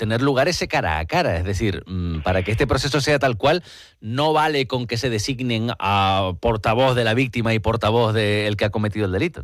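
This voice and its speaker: A man with an unremarkable speaking voice talks at a medium pitch and a moderate pace. His intonation is lively, and the recording is very clean with a silent background. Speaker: radio host. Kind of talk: radio interview questions.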